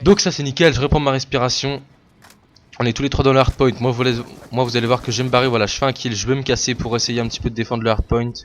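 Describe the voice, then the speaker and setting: A man talks at a very fast pace, keeping his intonation fairly even. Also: medium pitch for a man. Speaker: gaming commentator. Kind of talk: gameplay commentary. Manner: stammering.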